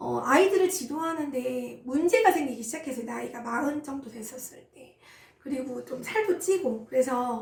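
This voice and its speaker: A woman's high-pitched voice at a moderate pace. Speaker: insurance team leader. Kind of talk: personal story. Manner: casual, many fillers.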